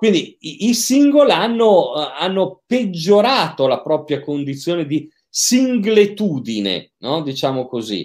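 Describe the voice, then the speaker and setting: This man's pitch is high, with very wide swings. He talks at a very slow pace on a very clean recording with a silent background. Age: 50s. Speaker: psychiatrist and sexologist. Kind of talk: interview. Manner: hesitant, frequent repetitions.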